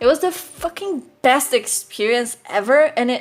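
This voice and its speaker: A woman with a non-native accent, a high pitch and lively intonation at a fairly slow pace. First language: not English. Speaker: artist and YouTuber. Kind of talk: casual voiceover commentary. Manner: animated.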